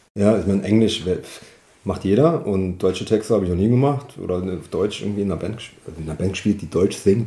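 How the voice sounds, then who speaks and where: A man's very fast speech, fairly low and dark, mellow in tone, with ordinary pitch variation. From Saarland, Köllerbach. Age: 40s. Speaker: singer-songwriter and wheelchair salesman. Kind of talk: interview. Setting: living room at home.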